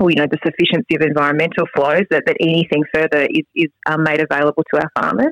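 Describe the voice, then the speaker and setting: Woman with an Australian accent, very deep, low pitch, fairly even intonation. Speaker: state member of parliament. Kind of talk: casual interview. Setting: golf club boardroom. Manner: hesitant, with many fillers.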